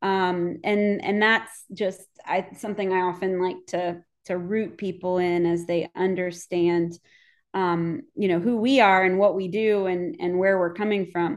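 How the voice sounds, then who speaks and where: A woman with an American accent, medium pitch, fairly even intonation and a fairly slow pace. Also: quiet background. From Virginia, Fredericksburg. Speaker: homelessness nonprofit director. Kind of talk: interview. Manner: halting, many fillers.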